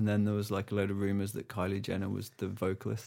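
A man with an English accent speaks in a flat monotone over a very clean recording with a silent background. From England. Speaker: podcast producer, musician. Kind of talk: casual chat.

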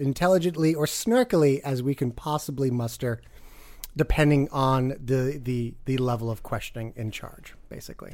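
A man speaks at a moderate pace. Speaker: podcast co-host. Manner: snarky, joking.

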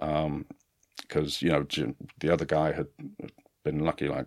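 A man with a very deep, low pitch speaks at a moderate pace, the sound dry and close with no echo on a very clean recording with a silent background. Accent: English Midlands. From West Midlands, England (Kenilworth). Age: 30s. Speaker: former special forces soldier, distiller. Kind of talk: interview storytelling. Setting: studio.

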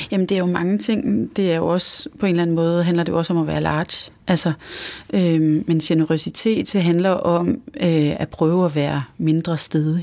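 A woman with a dark, mellow tone and fairly low pitch speaks at a moderate pace, her loudness very even and her pitch variation ordinary. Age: 40s. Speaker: entrepreneur. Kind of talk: interview. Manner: halting.

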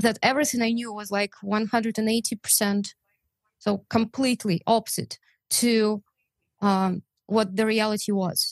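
Speaking with a Russian accent, a woman uses a fairly high pitch and a flat, monotone delivery at a fairly slow pace with long, frequent pauses, in a dry, close sound with no echo. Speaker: translator and volunteer. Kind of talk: interview.

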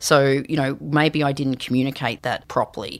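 Speaking at a moderate pace, a woman with an Australian accent has a very deep, low pitch. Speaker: leadership and storytelling consultant. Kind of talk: interview. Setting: studio.

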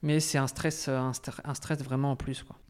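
A man at a medium pitch with monotone, flat intonation, moderate pace, and a very clean recording with a silent background. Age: 20s. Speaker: emigrant to Canada. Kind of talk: interview. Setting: over lunch. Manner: hesitant.

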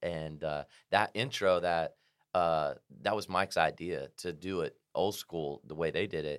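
Very deep and low, this man's voice carries an American accent with fairly even intonation. The recording is very clean, with a silent background. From Indiana, US Midwest. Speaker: country music singer. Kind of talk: casual chat. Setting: studio.

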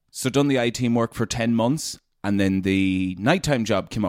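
A man talks at a moderate pace with ordinary pitch variation, recorded very cleanly against a silent background with a dry, close sound and no echo. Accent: northwest Irish. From Leitrim, Ireland. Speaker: radio presenter. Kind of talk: casual interview chat.

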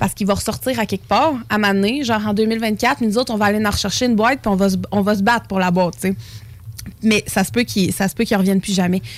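The woman's voice sits at a medium pitch. She talks at a very fast pace. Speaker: snack shop owner. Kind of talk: casual chat.

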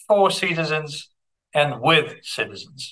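A man with a Russian accent and a fairly high-pitched voice. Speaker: philosopher and education researcher. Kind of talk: interview. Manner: halting.

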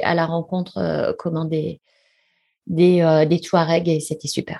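A woman speaks at a very slow pace with a fairly low pitch and a dark, mellow tone. The background is quiet. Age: 50s. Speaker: ultramarathon runner and sports business executive. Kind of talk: interview. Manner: hesitant, many fillers.

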